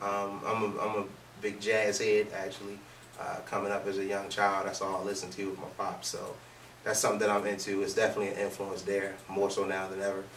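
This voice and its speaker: There is audible room echo as a man talks very fast in a fairly low, flat monotone. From Baltimore, US. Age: 20s. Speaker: soul singer. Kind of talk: interview. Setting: studio.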